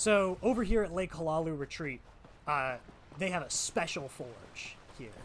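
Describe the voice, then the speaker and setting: A man with a strong American accent, fairly high pitch and very wide pitch swings, at a moderate pace. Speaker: video game streamer. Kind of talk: casual live-stream commentary.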